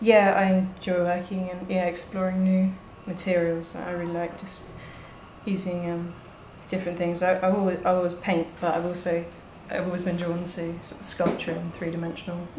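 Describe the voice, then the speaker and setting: Light background noise and audible room echo surround a woman speaking at a moderate pace. Her voice is fairly low and her intonation flat and monotone. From southwest England. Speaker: artist. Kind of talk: casual interview. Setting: art gallery studio. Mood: relaxed, smiling. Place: studio. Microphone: phone near.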